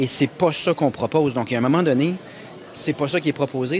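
Light background noise behind a man's moderate pace and ordinary pitch variation. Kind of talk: press scrum answer. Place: hall. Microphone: handheld.

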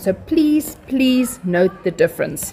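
Faint music plays behind a woman who speaks at a fairly slow pace. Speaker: maths teacher. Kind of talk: tutorial. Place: classroom.

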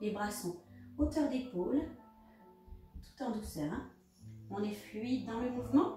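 A woman talks at a very slow pace. Faint music plays in the background, and the room echo is audible. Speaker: fitness instructor. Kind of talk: exercise class instruction. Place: home room. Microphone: camera far.

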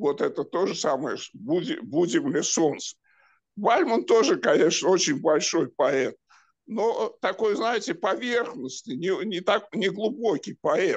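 In a quiet background, a man with a high pitch talks at a very slow pace, his pitch swinging very widely. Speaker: audience member. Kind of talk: discussion. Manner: halting.

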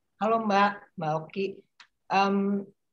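A woman speaks at a very slow pace. Her pitch sits at a medium level. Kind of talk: group discussion. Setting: video call.

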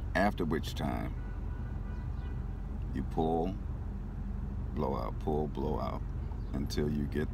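With music in the background and a dry sound with no echo, a man speaks at a fairly slow pace in a very deep, low pitch, using ordinary pitch variation and long, frequent pauses. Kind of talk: tutorial. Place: car. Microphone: phone near.

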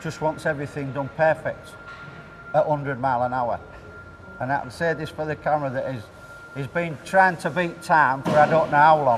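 Over noticeable background noise, a man with a fairly high pitch talks at a moderate pace with fairly even intonation. He leaves long, frequent pauses. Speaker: fish market worker. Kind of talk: interview answer.

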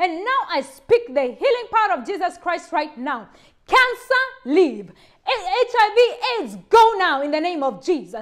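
Her voice sits extremely high with very wide pitch swings as this woman speaks at a fairly slow pace in a passionate tone over a quiet background. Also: big swings in loudness. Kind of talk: fervent healing prayer, commanding demons to leave. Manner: forceful, emphatic, commanding; urgent, passionate, rising intensity. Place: home room. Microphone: lapel.

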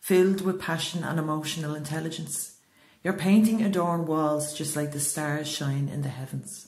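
With an Irish accent, a woman speaks at a moderate pace in a very deep, low pitch and fairly even intonation. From Ireland. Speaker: poet. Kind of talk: spoken word poetry reading.

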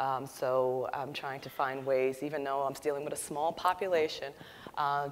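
A woman speaks at a fairly quick pace with a very deep, low pitch. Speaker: panelist. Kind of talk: panel discussion answer. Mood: earnest, reflective. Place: hall. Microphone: lapel.

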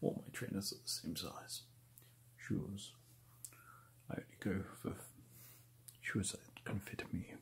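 A man whispers at a fairly slow pace. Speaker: streamer reviewing shoes. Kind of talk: casual vlog chat. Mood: dry, joking. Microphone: webcam.

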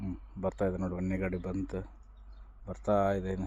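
This man has a very deep, low pitch. His tone is dark and mellow. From Byadgi area, Haveri district, north Karnataka. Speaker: vlogger and ready-mix concrete worker. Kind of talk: casual vlog narration.

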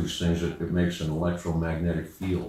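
Someone speaks at a fairly quick pace, with audible room echo. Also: man. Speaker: music teacher. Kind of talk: lecture. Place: home room.

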